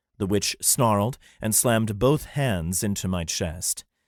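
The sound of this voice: Reading in an unforced voice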